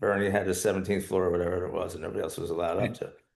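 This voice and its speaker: Someone with an American accent speaks at a very fast pace, with audible room echo around the voice. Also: man. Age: 60s. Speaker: trial lawyer. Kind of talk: casual chat. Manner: halting.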